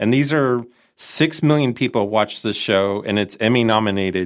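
The recording is very clean, with a silent background. A man with a Chicago accent talks at a moderate pace, medium pitch, and ordinary pitch variation. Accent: Chicago, nasal. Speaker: entrepreneur network director and consultant. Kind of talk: casual interview.

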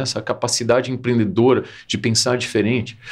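A man's voice at a medium pitch. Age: 50s. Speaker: marketing and innovation executive, speaker. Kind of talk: casual interview chat.

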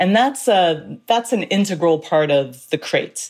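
A woman with a Canadian accent speaks with lively intonation. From Canada, Toronto. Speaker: author. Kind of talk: interview.

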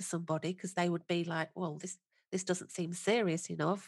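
A woman with a British accent, fairly quick in pace, with fairly even intonation. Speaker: podcast host. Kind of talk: interview, friendly chat.

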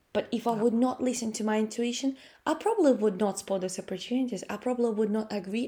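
A woman with a Russian accent speaks at a fairly quick pace, her fairly high voice carrying a dark, mellow tone. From Latvia. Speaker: personal growth coach and speaker. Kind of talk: interview conversation. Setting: remote call from home.

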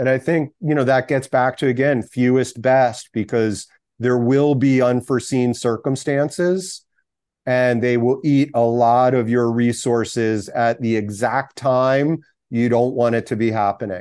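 A man with a plain, everyday voice speaks at a medium pitch and a fairly slow pace, with fairly even intonation. His loudness stays very even against a quiet background. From US, Philadelphia area. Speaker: startup founder and investor. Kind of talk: interview.

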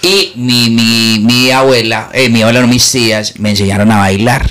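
Very slow speech from a man at medium pitch with ordinary pitch variation. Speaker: comedian. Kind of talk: casual chat.

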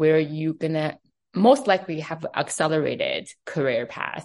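A woman with a Chinese accent speaks at a moderate pace in a very deep, low pitch against a quiet background. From China, Beijing. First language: Mandarin Chinese. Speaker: fashion executive. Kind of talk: interview.

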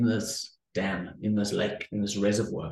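A man with a South African accent speaks at a moderate pace in a fairly low, somewhat breathy voice. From South Africa, Cape Town. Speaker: entrepreneur, former pastor and academic. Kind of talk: interview, conversational. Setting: video call.

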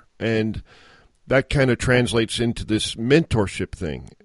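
In a quiet background, a man with an unremarkable speaking voice talks at a fairly slow pace and medium pitch with ordinary pitch variation, the sound dry and close with no echo. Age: 50s. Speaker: podcast host. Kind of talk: interview.

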